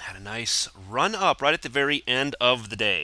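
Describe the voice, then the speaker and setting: A man's medium-pitched voice, bright and sharp in tone, with vocal fry. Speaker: stock market commentator. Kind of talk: market commentary video. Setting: home studio.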